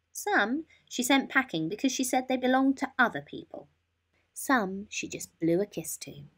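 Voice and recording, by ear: The tone is fairly bright, with lively intonation. The pace is moderate. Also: woman, fairly high pitch for a woman.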